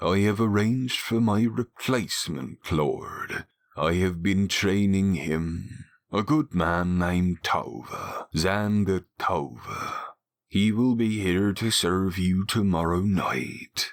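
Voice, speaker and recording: A man uses a put-on character voice at a fairly low pitch and a fairly slow pace, with ordinary pitch variation, on a very clean recording with a silent background. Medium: read story. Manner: humble, deferential.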